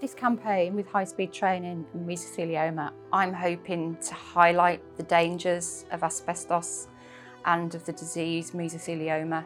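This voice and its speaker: Over music in the background, a woman with a Yorkshire accent talks at a moderate pace in a fairly low voice with fairly even intonation. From Yorkshire, England. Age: 50s. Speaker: mesothelioma patient. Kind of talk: interview answer.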